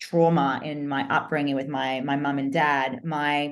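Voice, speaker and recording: Speaking with an Australian accent at a fairly slow pace, a woman uses a very deep, low pitch and monotone, flat intonation. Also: quiet background. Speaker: business coach. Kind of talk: podcast interview.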